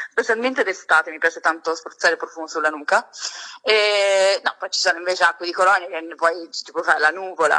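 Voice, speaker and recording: Speaking very fast with a Sicilian accent, a woman has a fairly low pitch, ordinary pitch variation and a bright, sharp tone. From Sicily, Catania. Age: 20s. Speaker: beauty and fragrance content creator. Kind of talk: casual chat. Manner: animated.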